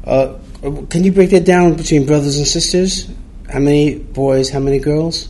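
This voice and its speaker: A man speaks at a moderate pace and fairly high pitch, with fairly even intonation and noticeable background noise. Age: 60s. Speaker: podcast host. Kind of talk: interview, casual conversation.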